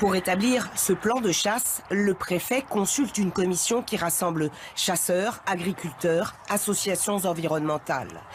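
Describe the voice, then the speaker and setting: Noticeable background noise sits under speech that unfolds at a fairly slow pace. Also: hardly any pauses. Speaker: TV news reporter. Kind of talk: TV news report narration.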